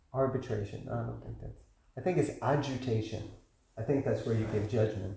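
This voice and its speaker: In audible room echo, a man with an American accent talks at a fairly quick pace in a medium pitch, with ordinary pitch variation and big swings in loudness. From United States. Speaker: class teacher. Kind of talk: lecture with Q&A. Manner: animated.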